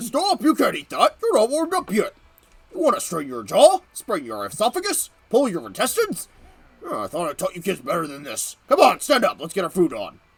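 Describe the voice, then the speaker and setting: A man's put-on character voice, extremely high-pitched and fairly quick. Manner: loud, barking, bossy.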